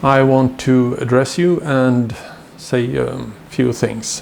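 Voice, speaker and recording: A man of medium pitch talks with a Swedish accent. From Sweden. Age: 60s. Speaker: violin maker. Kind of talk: tutorial. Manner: halting, many fillers.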